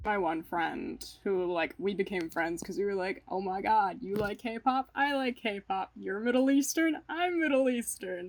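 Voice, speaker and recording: A woman with an American accent and a plain, everyday voice, medium pitch, lively intonation, fairly slow pace and hardly any pauses. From Maryland, US. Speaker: college student. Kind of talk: interview testimony. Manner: casual, uses 'like' often.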